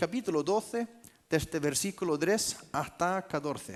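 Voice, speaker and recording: A high-pitched man at a very slow pace with lively intonation. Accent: Icelandic. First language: Icelandic (speaking Spanish). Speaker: pastor. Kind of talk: sermon.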